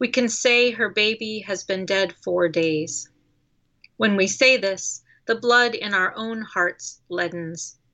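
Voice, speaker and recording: In a quiet background, a woman speaks at a very slow pace with a bright, sharp tone, fairly high pitch and ordinary pitch variation. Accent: American. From Colorado, US. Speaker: poet. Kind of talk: poetry reading.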